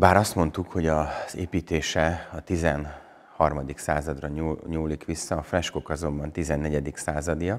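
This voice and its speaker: A man speaks in a very deep, low voice at a fairly slow pace. His intonation is flat and monotone, over a quiet background. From Partium, Satu Mare (Szatmárnémeti), Romania; Romania. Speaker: Reformed pastor and buffalo farmer; Reformed pastor. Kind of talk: interview, explaining church history. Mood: calm, informative. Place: church. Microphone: lapel.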